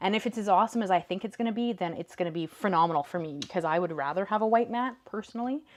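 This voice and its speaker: This voice carries a western Canadian accent and ordinary pitch variation. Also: woman. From Canada, northern British Columbia. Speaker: paper crafting livestream host. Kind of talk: live crafting tutorial with chat. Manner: casual, chatty.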